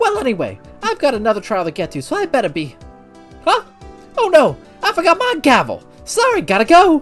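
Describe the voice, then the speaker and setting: A man puts on a character voice pitched extremely high, talking at a fairly quick pace with faint music in the background. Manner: stern, hurried.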